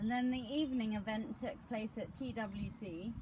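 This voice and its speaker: Noticeable background noise runs behind the speaker. She is a woman with a fairly high pitch. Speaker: interviewer. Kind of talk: interviewer questions. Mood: warm, gentle. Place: garden. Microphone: camera far.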